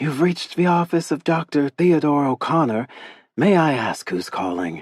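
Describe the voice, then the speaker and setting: The speaker uses a breathy, put-on character voice at a middle pitch. The pace is moderate. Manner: playful, mock-professional.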